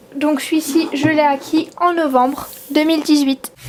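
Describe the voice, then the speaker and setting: Very slow speech from a woman with a high pitch, against noticeable background noise. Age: 20s. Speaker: collector of custom model horses. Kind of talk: casual talk to camera.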